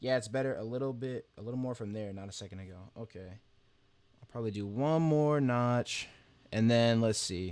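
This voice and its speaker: A soft-spoken man of medium pitch talks at a moderate pace with ordinary pitch variation and big swings in loudness. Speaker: gacha animation streamer. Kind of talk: casual livestream chat. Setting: live stream.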